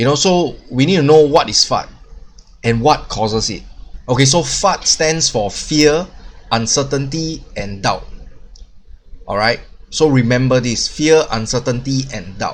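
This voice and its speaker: A man speaks with fairly high pitch and ordinary pitch variation. His pace is fairly slow, with long, frequent pauses. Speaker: crypto YouTuber. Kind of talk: casual video monologue. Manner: filler-heavy, halting.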